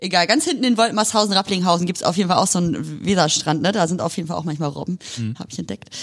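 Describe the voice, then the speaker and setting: A woman with a fairly low pitch talks at a very fast pace, with hardly any pauses. Her intonation is lively, with vocal fry throughout. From northern Germany, near Hanover. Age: young. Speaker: lawyer. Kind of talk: casual interview. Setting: law office.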